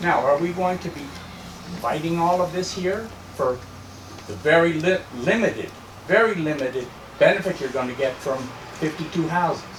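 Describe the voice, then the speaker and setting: A high-pitched man at a moderate pace, with ordinary pitch variation, long and frequent pauses, audible room echo and noticeable background noise. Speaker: landlord, meeting attendee. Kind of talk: public meeting debate.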